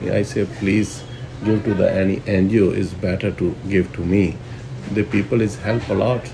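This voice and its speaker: A man's fairly low voice at a fairly slow pace, with ordinary pitch variation and noticeable background noise. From Pakistan, Punjab (Gujranwala). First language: Punjabi or Urdu. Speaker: restaurant owner. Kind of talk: interview. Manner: halting.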